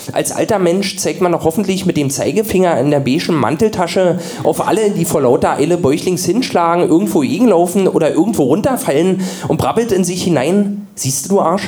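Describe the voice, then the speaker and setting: Over music in the background, a man talks at a fairly quick pace in a high pitch, with ordinary pitch variation and very even loudness. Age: 30s. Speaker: radio comedian. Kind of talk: comedic reading.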